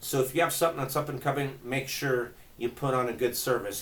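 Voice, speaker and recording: A man's fairly high-pitched voice with fairly even intonation. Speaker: local social media marketer. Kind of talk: casual tutorial. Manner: fast; casual, conversational.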